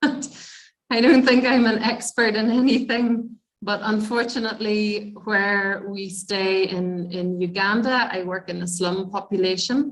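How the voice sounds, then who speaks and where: Speaking at a fairly slow pace with hardly any pauses, the voice carries a Northern Irish accent amid audible room echo. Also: woman, fairly high pitch for a woman, ordinary pitch variation. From Northern Ireland. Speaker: midwife. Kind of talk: lecture.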